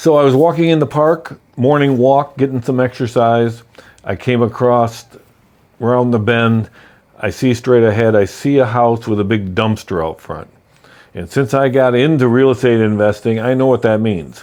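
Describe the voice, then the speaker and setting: In a normal speaking voice, a man talks at a moderate pace with medium pitch and ordinary pitch variation. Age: 60s. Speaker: real estate investor. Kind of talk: personal story to camera. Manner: casual, conversational with fillers.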